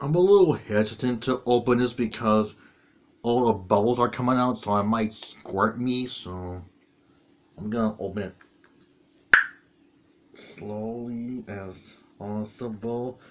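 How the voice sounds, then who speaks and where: Loud background noise surrounds a man speaking at a fairly slow pace. He pauses long and often, with ordinary pitch variation. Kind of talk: casual vlog chat. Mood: disgusted after tasting. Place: home room. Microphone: webcam.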